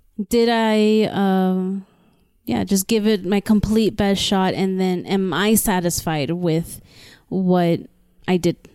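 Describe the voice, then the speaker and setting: In a very clean recording with a silent background, a woman with an American accent speaks at a very slow pace and medium pitch, her tone dark and mellow, her intonation fairly even and her loudness very even. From South Texas border (Brownsville). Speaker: cult survivor sharing her story. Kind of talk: personal interview.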